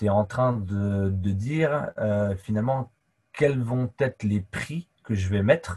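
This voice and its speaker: Somewhat breathy and fairly low-pitched, a man talks at a very slow pace with ordinary pitch variation in a dry, close sound with no echo. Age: 40s. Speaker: sports coach. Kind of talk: casual interview. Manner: talkative.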